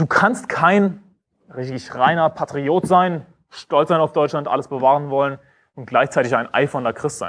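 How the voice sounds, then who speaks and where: Fairly high male pitch with ordinary pitch variation, a moderate pace and a quiet background. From Germany. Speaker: preacher. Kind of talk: sermon. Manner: sarcastic, sharply polemical, preaching with emphatic repetition. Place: stage.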